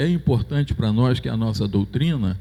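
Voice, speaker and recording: Dark, mellow tone and a somewhat breathy quality in a male voice. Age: 70s. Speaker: church elder. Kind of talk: church announcement. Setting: church.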